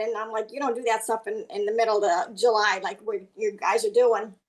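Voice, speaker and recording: Over a quiet background, a woman speaks in an animated tone at a moderate pace with ordinary pitch variation. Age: 60s. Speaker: network marketing distributor. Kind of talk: testimony.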